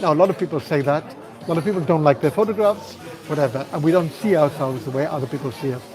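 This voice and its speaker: A man talks at a very fast pace in a fairly high pitch, with ordinary pitch variation and crowd noise behind him. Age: 60s. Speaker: life coach and channel host. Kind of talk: live stream talk answering viewer comments. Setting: live stream walkabout, sheltering in a hotel from rain. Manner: reflective, conversational.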